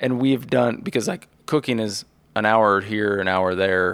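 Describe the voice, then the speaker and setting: Heard in a very clean recording with a silent background, a man has a plain, everyday voice with fairly low pitch, ordinary pitch variation and a moderate pace. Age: 30s. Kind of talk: casual chat.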